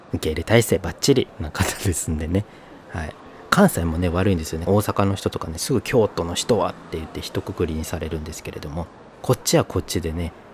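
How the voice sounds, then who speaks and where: A man speaks at a fairly quick pace in a very deep, low pitch with big swings in loudness. Noticeable background noise runs underneath. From northern Kyoto Prefecture coast, Japan. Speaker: podcast host. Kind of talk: casual solo podcast talk.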